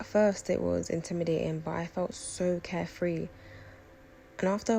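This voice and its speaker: A woman talks with a London accent. Her pace is fairly quick. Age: 20s. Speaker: lifestyle vlogger. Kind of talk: personal vlog narration.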